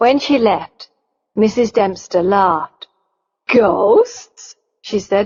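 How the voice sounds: The clip has a natural reading voice with a quiet background.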